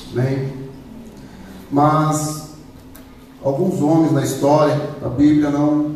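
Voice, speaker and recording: A man with a non-native accent speaks at a very slow pace with long, frequent pauses, his fairly high pitch held in a monotone, flat intonation. Noticeable background noise and audible room echo fill the recording. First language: not Portuguese (speaking Portuguese). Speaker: preacher. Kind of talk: sermon.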